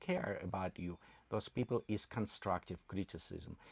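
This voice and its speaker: A man with a slight non-native accent speaks at a fairly low pitch with ordinary pitch variation, recorded dry and close with no echo against a quiet background. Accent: slight foreign. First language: not English. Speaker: channel co-host. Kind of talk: livestream chat.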